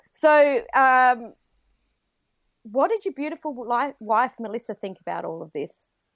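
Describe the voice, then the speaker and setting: Her high, lively voice carries an enthusiastic tone and an Australian accent, moving at a fairly slow pace with big swings in loudness and long, frequent pauses. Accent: Australian, noticeable to US listeners. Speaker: podcaster and business consultant acting as guest host. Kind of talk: casual interview chat.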